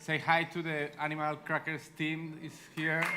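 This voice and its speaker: A fairly slow pace in a Spanish accent, with noticeable background noise. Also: man. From Spain. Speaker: animation director. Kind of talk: panel discussion. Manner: halting.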